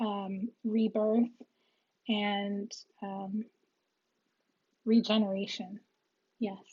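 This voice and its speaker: Very slowly and with long, frequent pauses, a woman speaks at medium pitch in a somewhat breathy voice with monotone, flat intonation. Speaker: tarot reader. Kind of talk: tarot reading video. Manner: hesitant with fillers.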